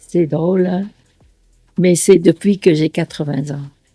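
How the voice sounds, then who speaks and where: Very slow speech in a dark, mellow tone, with a dry, close sound and no echo. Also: woman. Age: 80s+. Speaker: retired engineer and business financier. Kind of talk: documentary interview testimony. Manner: halting, with frequent hesitations.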